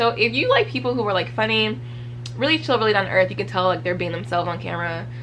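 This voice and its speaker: A woman speaks in an animated tone at a very fast pace. Noticeable background noise and audible room echo are present. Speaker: book reviewer. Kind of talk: casual vlog talk.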